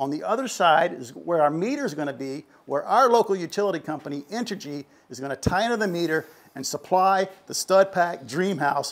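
A man with a fairly quick pace and lively intonation. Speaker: channel host. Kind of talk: casual tutorial vlog. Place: garage. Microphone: lapel.

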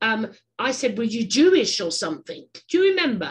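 A woman speaks with an English accent at a moderate pace. Her fairly high pitch swings very widely. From England. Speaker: podcast host. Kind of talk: casual interview chat. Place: home room. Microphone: webcam.

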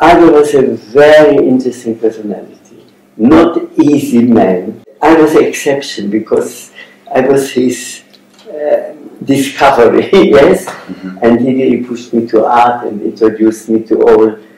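Room echo can be heard around the voice. The man's pitch varies in an ordinary way. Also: medium pitch for a man, moderate pace. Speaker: Holocaust survivor and artist. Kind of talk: interview answer. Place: meeting room.

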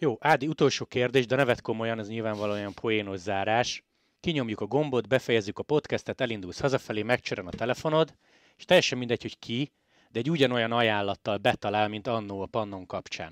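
A man at a medium pitch, talking at a very fast pace over a quiet background. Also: ordinary pitch variation, big swings in loudness, dry, close sound with no echo. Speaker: cycling podcast host. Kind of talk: casual interview.

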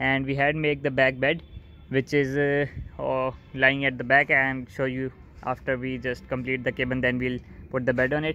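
A man speaks in a flat monotone at a moderate pace, the sound dry with no echo. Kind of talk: casual vlog chat. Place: garage. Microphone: phone near.

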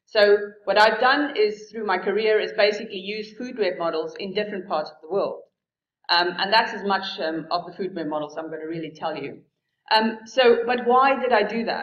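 A woman speaks at a moderate pace with ordinary pitch variation and big swings in loudness. The background is quiet, though room echo is audible. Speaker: keynote speaker. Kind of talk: keynote lecture. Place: hall.

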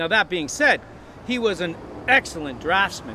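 Very wide pitch swings come through a dry sound with no echo and light background noise. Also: man. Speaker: guide. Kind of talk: art commentary. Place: street. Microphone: lapel.

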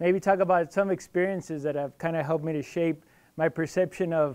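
Pitched high for a man, a man's voice is heard. The background stays quiet. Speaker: guest. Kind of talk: lecture. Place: hall.

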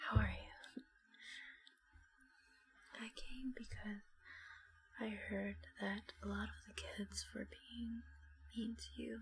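A soft-spoken voice with a gentle tone moves at a very slow pace, with long, frequent pauses. Light background noise sits behind it. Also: woman. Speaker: ASMR creator. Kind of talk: ASMR roleplay, soft spoken. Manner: soft-spoken, gentle, comforting. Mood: comforting, warm. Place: home room. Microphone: earbuds.

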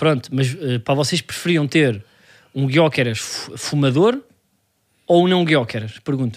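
A man with a fairly high voice talks with ordinary pitch variation, stopping for long pauses often. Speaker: comedy podcast co-host. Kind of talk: casual chat.

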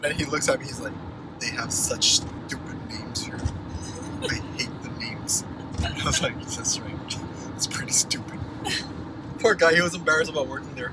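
A man talks fairly fast, the sound dry with no echo, while loud noise fills the background. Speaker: vlogger. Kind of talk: casual vlog chat. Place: car. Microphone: phone near.

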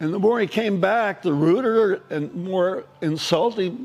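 The speech moves at a fairly slow pace. It comes with an American accent. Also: man. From Southern California. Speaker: retired probation officer and teacher. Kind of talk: testimony. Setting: stage with audience. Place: cafe. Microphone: lapel.

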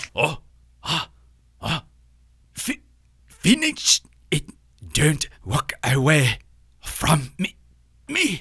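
A man's cartoonish character voice, fairly high pitched, very slow and broken by long, frequent pauses. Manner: slow, formal, menacing.

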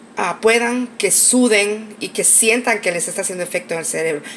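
A nasal, fairly bright tone over faint background noise. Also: woman.

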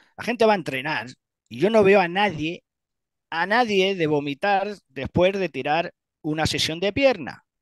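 A man's high voice at a fairly slow pace, with lively intonation and big swings in loudness, dry with no echo against a quiet background. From Spain, Castilla-La Mancha (Ciudad Real); Castilla-La Mancha, Spain. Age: 50s. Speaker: retired bodybuilding champion; interviewee. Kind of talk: interview. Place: home room. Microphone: headset.

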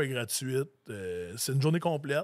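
The recording is very clean, the background silent. A man talks with very wide pitch swings. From Quebec, Lanaudière. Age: 40s. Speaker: grain farmer. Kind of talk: casual interview.

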